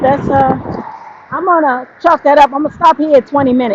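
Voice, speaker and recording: Noticeable background noise accompanies a woman speaking at a moderate pace with a high pitch. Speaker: vlogger. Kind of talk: casual vlog monologue. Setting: outdoors, walking on street. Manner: loud.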